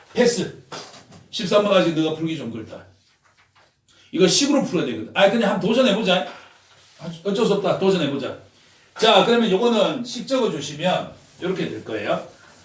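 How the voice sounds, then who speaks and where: Pitched high for a man, this speaker talks at a fairly quick pace with lively intonation and big swings in loudness. He leaves long, frequent pauses, and room echo is audible. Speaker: math tutor. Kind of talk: lecture.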